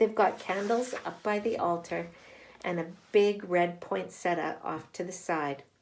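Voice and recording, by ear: With ordinary pitch variation, the clip features reading aloud in a natural voice.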